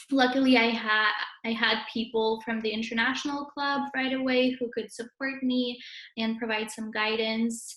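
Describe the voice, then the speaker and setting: Delivered at a moderate pace in a Russian accent, the speech stays monotone, with flat intonation. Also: woman, fairly high pitch for a woman. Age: 20s. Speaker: university student. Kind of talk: interview. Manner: hesitant, many fillers.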